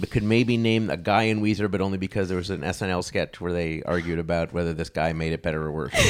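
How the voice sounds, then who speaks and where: Very fast and with hardly any pauses, a man with an American accent talks in a very deep, low pitch with ordinary pitch variation. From Chicago, then Los Angeles area. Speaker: podcast host and game show enthusiast. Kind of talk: casual chat.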